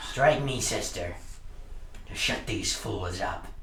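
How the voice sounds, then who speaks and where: A man puts on a character voice at a medium pitch and a fairly slow pace. Background noise is clear. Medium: actual play. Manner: grave, declaiming.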